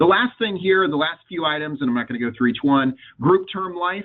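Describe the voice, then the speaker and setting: A man talks with lively intonation. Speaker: webinar presenter on benefits compliance. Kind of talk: webinar presentation. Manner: fast.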